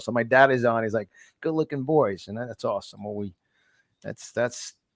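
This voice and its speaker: A man with a New York accent talks at a very fast pace with ordinary pitch variation, in a dry, close sound with no echo. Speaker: podcast host. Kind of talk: interview. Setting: live show. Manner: stammering, repeats words.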